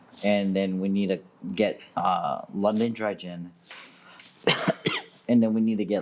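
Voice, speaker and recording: Fairly low in pitch, a man speaks at a fairly slow pace with fairly even intonation amid noticeable background noise. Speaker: podcast co-host, bartender. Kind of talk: casual chat.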